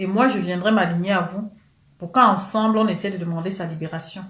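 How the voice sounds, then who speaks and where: The speaker has a Cameroonian accent and talks at a moderate pace. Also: woman. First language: Cameroonian local language (speaking French). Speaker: political commentator. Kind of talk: live stream rant. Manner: animated.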